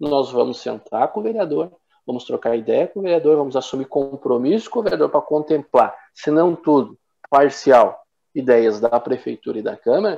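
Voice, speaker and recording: With a plain, everyday voice, a man speaks at a fairly high pitch and a moderate pace, his intonation lively. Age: 30s. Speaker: city councillor. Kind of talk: interview.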